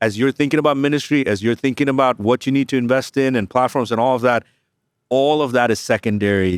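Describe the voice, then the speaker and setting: A man at medium pitch and a very fast pace, with very even loudness and ordinary pitch variation, dry and close with no echo in a very clean recording with a silent background. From India and Middle East. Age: 40s. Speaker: church digital strategy consultant, former online pastor. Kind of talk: live event interview.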